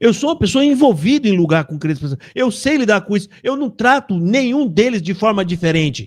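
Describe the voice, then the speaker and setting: At a moderate pace, a man talks in a high voice with very wide pitch swings, recorded very cleanly against a silent background. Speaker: YouTube live host, religious commentator. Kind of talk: heated live-stream rant. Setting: live stream. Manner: agitated, loud.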